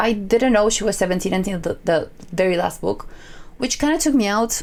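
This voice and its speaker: A woman is speaking. She has a non-native accent. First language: not English. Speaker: book reviewer / content creator. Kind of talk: casual book review vlog. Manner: hesitant, with fillers and repetitions.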